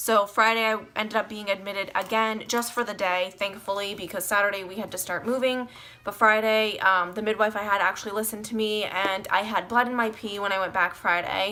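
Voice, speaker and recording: A woman at medium pitch, talking at a fairly quick pace with monotone, flat intonation and hardly any pauses, over noticeable background noise. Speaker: vlogger. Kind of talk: casual vlog monologue. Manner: fast.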